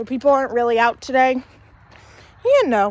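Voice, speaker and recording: A woman talks loudly at a moderate pace with a high pitch. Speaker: vlogger. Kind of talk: casual walking vlog. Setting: outdoors, walking. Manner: casual, rambling.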